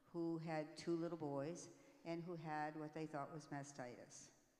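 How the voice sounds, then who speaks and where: Audible room echo around fairly slow speech, its pitch varying in an ordinary way. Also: woman. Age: 80s+. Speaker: breast cancer awareness speaker, panelist. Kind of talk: testimony.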